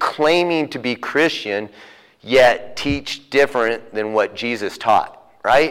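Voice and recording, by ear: The recording is of a person reading aloud in a natural voice.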